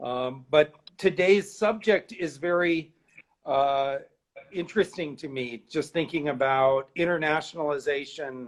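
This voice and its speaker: A man with a New York accent speaks at a fairly slow pace. His pitch is fairly high, with ordinary variation. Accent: American, New York. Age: 60s. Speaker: art curator. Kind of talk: interview. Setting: live stream.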